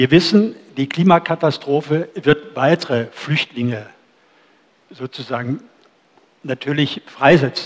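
With long, frequent pauses, a man talks at a fairly slow pace in a fairly high voice. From Germany, near former GDR. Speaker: event moderator. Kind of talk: moderated discussion. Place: cafe. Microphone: headset.

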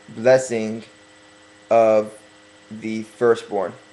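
Noticeable background noise sits behind a man whose medium-pitched voice has monotone, flat intonation. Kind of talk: religious sermon, Torah commentary. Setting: webcam. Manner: slow, deliberate.

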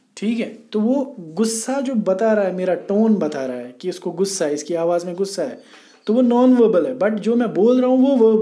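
A man's high-pitched voice, dark and mellow in tone, with lively intonation at a moderate pace amid audible room echo. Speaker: teacher. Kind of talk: lecture. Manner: moderate speed.

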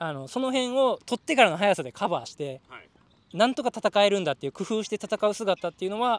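At a very fast pace, the voice makes very wide pitch swings and big swings in loudness, in a dry, close sound with no echo and a very clean recording with a silent background. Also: man, high pitch for a man. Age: 30s. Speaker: manga artist, tryout applicant. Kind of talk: group interview.

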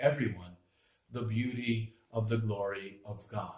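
Against a quiet background, a somewhat breathy man speaks with audible room echo. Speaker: priest. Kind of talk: homily, preaching on the gospel, with a reading of scripture. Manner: teaching, earnest and explanatory, with a lively moment of mimicry. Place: home room. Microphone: webcam.

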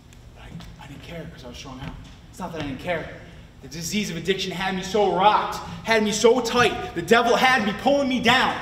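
A man with an American accent speaks in a high pitch. Noticeable background noise and audible room echo surround him. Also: lively intonation, fairly quick pace, big swings in loudness. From Clifton Park, upstate New York. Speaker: recovering addict and peer support specialist. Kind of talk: testimony. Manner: animated.

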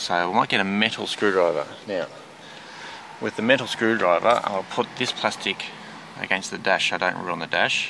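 A man speaks low, with vocal fry and a bright, sharp tone. His pace is moderate, his pitch varies ordinarily, and faint noise sits in the background.

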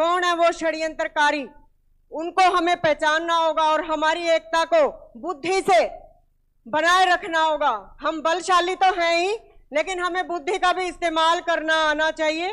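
A woman speaks at a very slow pace in an extremely high pitch. Her intonation is fairly even, and the background is quiet. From India, Haryana (Hisar district); Haryana, India. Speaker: speaker. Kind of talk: public speech. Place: hall. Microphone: handheld.

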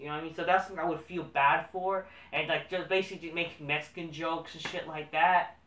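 Against audible room echo, a man with a high pitch talks at a fairly quick pace with fairly even intonation. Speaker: wrestling commentary vlogger. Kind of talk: casual solo commentary. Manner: rambling, profane, halting. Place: home room. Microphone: camera far.

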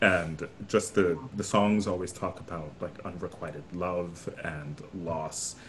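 Over light background noise, a man talks very slowly in a very deep, low voice with fairly even intonation. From New York City (Brooklyn). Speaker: opera singer. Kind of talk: casual chat. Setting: video call. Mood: warm, friendly. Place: home room. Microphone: headset.

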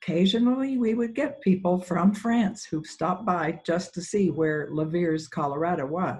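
A moderate pace with hardly any pauses. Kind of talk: lecture. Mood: warm, lightly humorous. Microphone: video call.

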